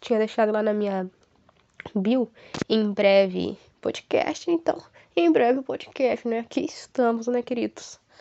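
A woman speaks at a fairly high pitch with ordinary pitch variation. Her pace is fairly slow, with long, frequent pauses. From Brazil, Paraná (Ivaiporã). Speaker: podcast host, psychology student. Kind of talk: casual solo podcast monologue. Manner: warm, animated.

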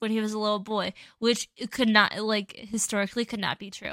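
With an American accent, a woman speaks in a fairly high pitch with ordinary pitch variation and a bright, sharp tone, in a dry, close sound with no echo on a very clean recording with a silent background. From Wisconsin, US. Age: 20s. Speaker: podcast co-host. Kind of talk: casual chat.

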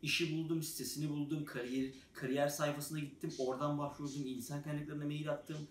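In a room with audible echo, a man speaks at a moderate pace with a fairly high pitch and monotone, flat intonation. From Turkey. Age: 20s. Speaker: software developer, YouTuber. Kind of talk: casual vlog monologue. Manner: hesitant, many filler sounds.

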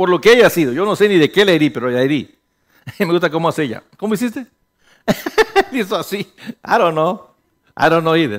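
A man with high pitch, lively intonation, and an animated tone at a fairly quick pace, with long, frequent pauses. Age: 50s. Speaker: pastor. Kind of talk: sermon.

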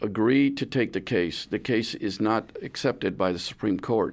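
In a very clean recording with a silent background, a man with an American accent talks at a moderate pace, his intonation lively and his voice showing vocal fry. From San Antonio, Texas. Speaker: retired judge and lawyer. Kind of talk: radio interview. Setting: radio studio.

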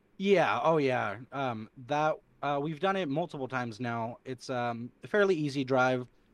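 In an American accent, a man speaks at a medium pitch with a plain, everyday voice. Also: ordinary pitch variation, moderate pace. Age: 20s. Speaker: laser tag player. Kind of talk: casual chat.

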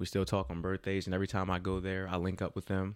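A man talks at a fairly quick pace with a very deep, low pitch. The recording is very clean, with a silent background. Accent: slight New Jersey. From Jersey City, New Jersey. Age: 30s. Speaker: young adult minister. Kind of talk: casual interview, personal testimony.

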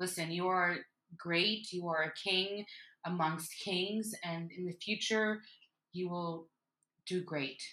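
Speaking at a very slow pace with long, frequent pauses, a woman has a fairly low pitch and a bright, sharp tone. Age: 30s. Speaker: podcast host and mother. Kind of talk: casual chat. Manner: animated.

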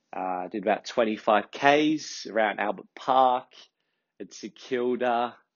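Speaking at a fairly slow pace, a man talks in an Australian accent. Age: 30s. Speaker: podcast host. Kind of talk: casual monologue. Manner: relaxed, with many fillers.

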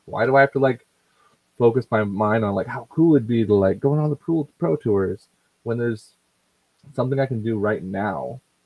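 At a moderate pace, a man speaks with medium pitch and ordinary pitch variation. His speech has long, frequent pauses. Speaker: podcast co-host.

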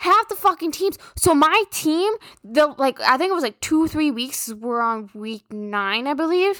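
Loud and fairly slow, a woman with a high pitch and a bright, sharp tone makes very wide pitch swings with hardly any pauses in a dry, close sound with no echo. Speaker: podcast host. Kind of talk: casual monologue.

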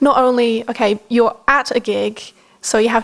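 A woman talks at a moderate pace with an Australian accent. Her intonation stays fairly even. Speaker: podcast co-host. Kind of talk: casual chat.

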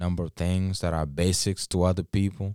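The man's pitch is very deep and low, with fairly even intonation. The sound is dry and close, without echo. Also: very clean recording, silent background. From Kisii, Kenya. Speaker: guest sharing personal recovery story. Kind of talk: casual interview, personal testimony.

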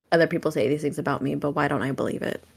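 A woman with an American accent speaks in a very deep, low voice with vocal fry, captured in a very clean recording against a silent background. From US West Coast, Oakland area. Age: 20s. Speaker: podcast co-host. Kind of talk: casual chat.

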